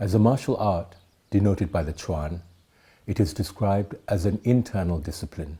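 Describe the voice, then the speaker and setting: The tone is dark and mellow, somewhat breathy, with ordinary pitch variation at a moderate pace. The recording is very clean, with a silent background. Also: man, fairly low pitch for a man. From Thailand, educated in the UK. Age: 70s. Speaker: tai chi teacher. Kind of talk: lecture.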